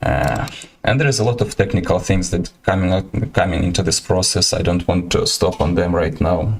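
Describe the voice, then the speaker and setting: There is noticeable background noise behind a man talking. His voice is very deep and low, with very even loudness. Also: ordinary pitch variation, moderate pace. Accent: Ukrainian. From Ukraine. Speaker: artist and iguana keeper streaming. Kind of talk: livestream presentation and Q&A. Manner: halting, many hesitations.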